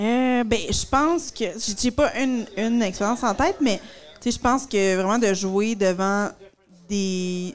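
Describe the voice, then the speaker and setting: Speaking very slowly with long, frequent pauses, a woman keeps her loudness very even, her fairly high voice showing ordinary pitch variation. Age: 30s. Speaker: comedian. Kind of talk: casual chat.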